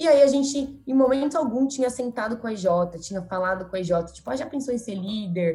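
A fairly high-pitched woman at a fairly quick pace, with ordinary pitch variation and noticeable background noise. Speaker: marketing professional, former junior enterprise president. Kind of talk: podcast interview.

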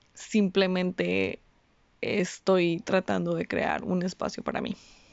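A woman talks at a medium pitch. Her pace is fairly slow. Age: 20s. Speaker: podcast host. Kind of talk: personal monologue. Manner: casual, hesitant.

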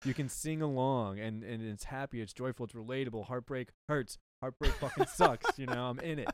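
A man with an American accent talks at a fairly quick pace in a normal speaking voice, medium in pitch. His intonation stays fairly even, and the sound is dry and close with no echo. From Texas. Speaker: podcast host and musician. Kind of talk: casual chat. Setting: on a boat.

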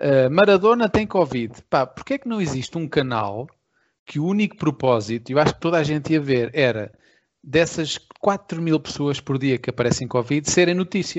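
A man with a normal speaking voice, fairly high-pitched, at a moderate pace. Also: lively intonation. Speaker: podcast co-host and musician. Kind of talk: casual chat.

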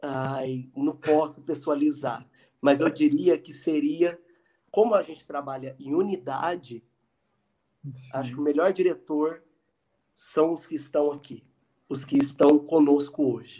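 The man's voice is fairly high yet dark and mellow in tone, fairly slow and fairly even in intonation, with big swings in loudness. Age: 30s. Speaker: psychologist and student association president. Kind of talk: casual interview. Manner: halting.

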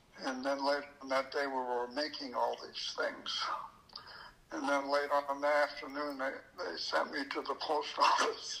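Moderately paced speech from a man with an American accent, noticeable background noise behind it. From US Pacific Northwest, Oregon. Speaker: magician and magic shop owner. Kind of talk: casual interview chat. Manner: halting, many fillers.

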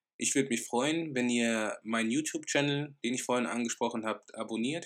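A man talks at a moderate pace and medium pitch, with fairly even intonation and a normal speaking voice. The recording is very clean, with a silent background. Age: 20s. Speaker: real estate business owner. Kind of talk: educational podcast monologue.

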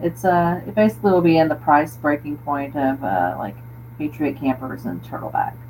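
With an American accent and vocal fry, a woman speaks at a moderate pace in a very deep, low voice with lively intonation. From Florida panhandle. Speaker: overlanding enthusiast. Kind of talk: casual chat.

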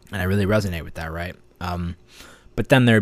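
Very fast and very deep, a man's low-pitched voice comes through in a very clean recording with a silent background. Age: 20s. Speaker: podcast host and coach. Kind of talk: solo monologue podcast. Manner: halting, many fillers.

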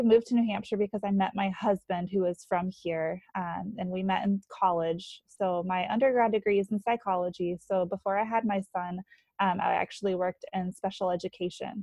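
A woman speaks with an American accent in a plain, everyday voice at medium pitch. Her pace is moderate and her intonation fairly even. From North Carolina. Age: 20s. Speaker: stay-at-home mom. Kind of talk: casual interview.

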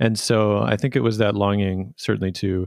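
A man with a Canadian accent has an unremarkable speaking voice, fairly low in pitch, with fairly even intonation. The sound is dry and close with no echo, over a quiet background. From Canada, Vancouver suburbs. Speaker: documentary filmmaker and podcast host. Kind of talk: interview conversation.

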